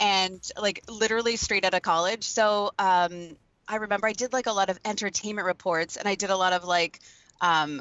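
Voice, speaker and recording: In an unremarkable speaking voice, a woman talks at a moderate pace and medium pitch. Her loudness is very even and her intonation fairly even. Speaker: voice over artist. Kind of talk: interview answer. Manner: casual, chatty.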